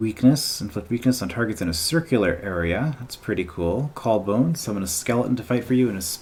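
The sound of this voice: Intonation stays lively as the text is read in an unforced reading voice.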